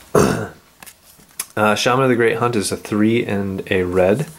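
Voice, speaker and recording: Over noticeable background noise, a man speaks with fairly low pitch and ordinary pitch variation. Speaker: card game video host. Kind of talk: casual card-opening talk to camera.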